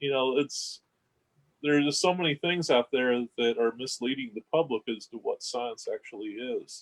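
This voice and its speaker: A man speaks at a moderate pace with a Kentucky accent. The sound is dry and close, with no echo. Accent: Southern (Kentucky). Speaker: science organization representative. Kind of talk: panel discussion.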